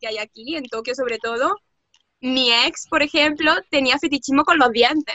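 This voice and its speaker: At a moderate pace, a woman talks in a high-pitched voice with ordinary pitch variation. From Andalusia, Córdoba (southern Spain). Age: 20s. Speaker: translator and interpreter living in Japan. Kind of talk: casual interview chat. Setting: video call.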